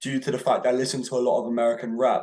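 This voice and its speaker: Dark and mellow in tone, a man's voice comes with a British accent. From England, Bristol. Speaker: independent rapper. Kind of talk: casual interview. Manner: hesitant, with many fillers.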